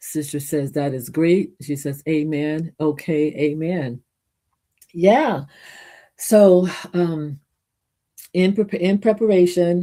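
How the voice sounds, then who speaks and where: A woman's fairly low voice with ordinary pitch variation and long, frequent pauses, on a very clean recording with a silent background. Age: 60s. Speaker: gospel singer and minister. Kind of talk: casual livestream talk. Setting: home livestream. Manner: halting, many false starts.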